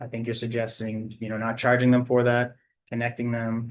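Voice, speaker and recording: A man of medium pitch talks at a very fast pace. His intonation is monotone and flat. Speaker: consultant presenter. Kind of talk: presentation at public meeting.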